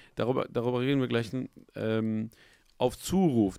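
A man at a medium pitch talks in a normal speaking voice at a moderate pace, with a dry sound with no echo and a quiet background. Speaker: YouTube interview host. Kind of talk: casual interview chat. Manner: casual, filler-heavy speech. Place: studio. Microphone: studio mic.

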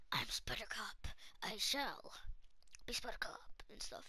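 A gruff, put-on character voice at an extremely high pitch and a fairly slow pace. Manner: gruff, put-on, comical.

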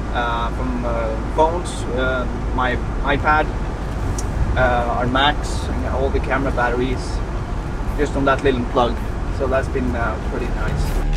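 A man talks at a fairly slow pace with long, frequent pauses over loud background noise. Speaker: van-life travel vlogger. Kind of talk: casual vlog chat. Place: car. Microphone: camera far.

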